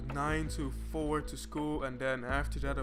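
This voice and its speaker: With music in the background, a man with a non-native accent speaks at a moderate pace in a monotone, flat intonation. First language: not English. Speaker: programmer, educational YouTuber. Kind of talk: casual talk to camera. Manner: unscripted, occasional stutters and fillers.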